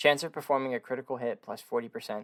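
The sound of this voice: Speaking at a fast pace, a man has a medium-pitched, fairly bright voice with ordinary pitch variation.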